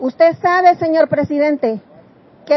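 A high-pitched woman at a moderate pace, her pitch varying in an ordinary way. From El Salvador. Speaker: migrant. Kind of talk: testimony.

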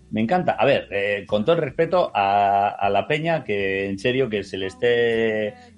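In an ordinary speaking voice, a man with fairly low pitch speaks at a fairly slow pace with lively intonation and hardly any pauses, against a quiet background. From Bilbao, Basque Country, Spain. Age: 30s. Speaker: writer and painter. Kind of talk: casual chat.

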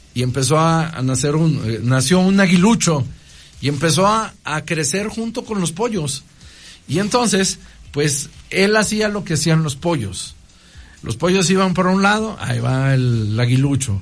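With very wide pitch swings, a man with a fairly high voice speaks at a fairly slow pace. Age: 40s. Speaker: priest. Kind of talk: radio interview talk. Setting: radio studio. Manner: halting, frequent repetitions.

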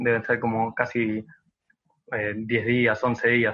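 Using an ordinary speaking voice, a man talks at a fairly slow pace. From Argentina, Buenos Aires province. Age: 20s. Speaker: social media content creator. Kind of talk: interview.

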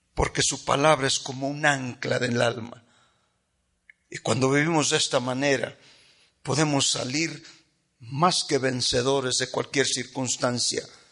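At a fairly slow pace with long, frequent pauses, a man speaks in a monotone, flat intonation, with a medium pitch and a bright, sharp tone. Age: 50s. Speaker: pastor. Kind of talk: sermon.

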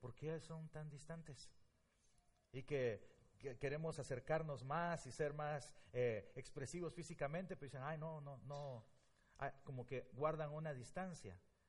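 Somewhat breathy and fairly slow, a man talks in a fairly high pitch with ordinary pitch variation. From Guatemala. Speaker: pastor. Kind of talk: sermon. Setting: church.

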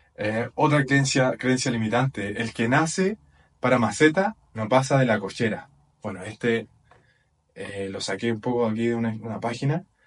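At a moderate pace, an ordinary speaking voice moves with ordinary pitch variation. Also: man, medium pitch for a man. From Chile. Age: 20s. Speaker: personal development podcaster. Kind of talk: motivational talk. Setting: video recording with whiteboard.

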